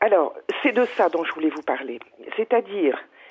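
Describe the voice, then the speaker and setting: A woman talks. The swings in her pitch are very wide. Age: 70s. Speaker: business coach and trainer. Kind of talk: radio call-in. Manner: halting.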